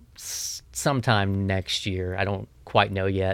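Fairly slow and fairly low in pitch, a man with an American accent speaks in an unremarkable speaking voice, captured in a very clean recording with a silent background. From US South, Tennessee (Memphis, West Tennessee, Nashville). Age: 30s. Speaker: ambient guitar musician. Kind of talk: casual interview.

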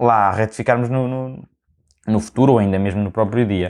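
A man with a European Portuguese accent. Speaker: podcast host and university student. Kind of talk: casual solo monologue. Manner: animated.

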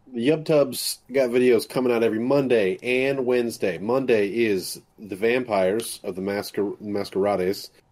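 A man speaks at a medium pitch and a moderate pace, with hardly any pauses, in an unremarkable speaking voice. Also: ordinary pitch variation. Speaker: video editor and channel producer. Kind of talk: casual chat.

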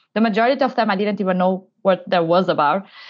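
This is a woman speaking with a Portuguese accent. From Portugal. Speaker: innovation manager. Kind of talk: interview. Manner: halting.

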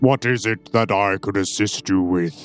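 Using a booming, put-on character voice at a fairly low pitch, a man talks at a moderate pace with ordinary pitch variation while faint music plays in the background. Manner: boisterous.

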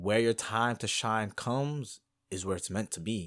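This man has a plain, everyday voice with ordinary pitch variation. He speaks at a moderate pace on a very clean recording with a silent background. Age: 20s. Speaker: podcast host. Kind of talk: motivational monologue.

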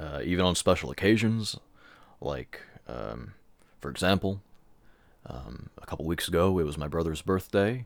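Speaking at a moderate pace with vocal fry, a man's very deep, low voice makes very wide pitch swings and big swings in loudness, with long, frequent pauses. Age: 20s. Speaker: solo podcaster, songwriter and graphic artist. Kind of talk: personal monologue, venting. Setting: alone in his room. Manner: halting, many fillers and repetitions.

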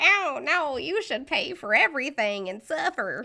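Pitched high with very wide swings, a female-sounding put-on character voice moves at a moderate pace in a Southern US accent. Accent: Southern American. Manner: mocking, callous.

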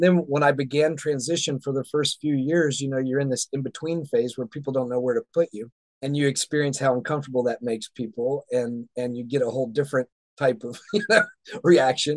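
Heard in a dry, close sound with no echo, a man with an American accent and an unremarkable speaking voice talks at a fairly quick pace, his fairly high pitch showing ordinary variation. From US South. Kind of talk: interview conversation.

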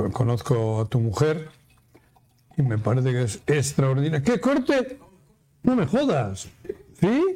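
The speech goes at a very slow pace with long, frequent pauses. Pitch swings are very wide. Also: man, fairly high pitch for a man. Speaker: radio talk show host. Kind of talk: casual chat.

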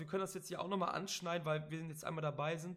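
A man speaks with fairly even intonation. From Cologne, Germany. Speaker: wrestling podcast host. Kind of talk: casual podcast chat.

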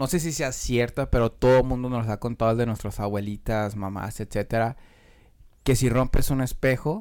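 The speaker has a Mexican accent. The pace is moderate. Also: man. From Mexico, Michoacán. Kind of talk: casual chat.

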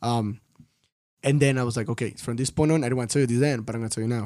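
In a Spanish accent, a man speaks at medium pitch with fairly even intonation. His tone is dark and mellow. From Mexico, Tampico. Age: 20s. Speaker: film director. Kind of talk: casual interview.

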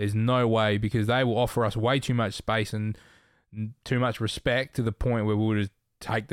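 On a very clean recording with a silent background, a man with an Australian accent talks at a fairly low pitch in a monotone, flat intonation. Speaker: podcast host. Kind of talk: casual sports chat.

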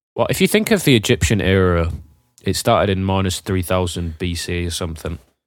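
The speaker uses fairly even intonation in a British accent. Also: man, very deep, low pitch for a man, fairly quick pace, very clean recording, silent background. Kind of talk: casual chat.

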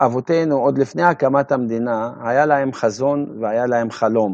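Dry, close sound with no echo and ordinary pitch variation. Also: man. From Upper Galilee, Israel (Maronite, from Bir'im). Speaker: Maronite community member. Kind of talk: interview.

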